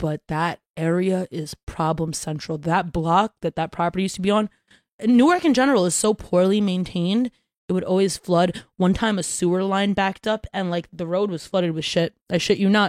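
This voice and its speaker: An unremarkable speaking voice talks at a moderate pace with ordinary pitch variation. The sound is dry and close, with no echo. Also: woman, medium pitch for a woman. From Brooklyn, New York. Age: 20s. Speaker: content creator and musician. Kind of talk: casual chat.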